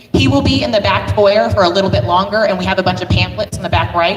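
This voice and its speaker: Through noticeable background noise, a woman speaks at a fairly quick pace with fairly low pitch and lively intonation. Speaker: nonprofit co-founder. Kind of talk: public forum presentation. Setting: community meeting with audience. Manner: loud.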